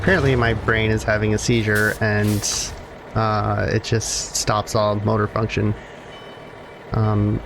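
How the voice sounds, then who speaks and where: Through noticeable background noise, a man speaks at a fairly low pitch. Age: adult. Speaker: gaming YouTuber. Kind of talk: gameplay commentary. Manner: halting, stops mid-sentence; many fillers (um, uh).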